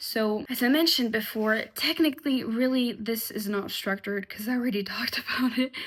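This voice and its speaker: With hardly any pauses, a woman talks at a fairly quick pace in a fairly high voice with ordinary pitch variation. Noticeable background noise runs underneath. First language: French. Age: 20s. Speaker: vlogger. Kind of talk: casual monologue. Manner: halting.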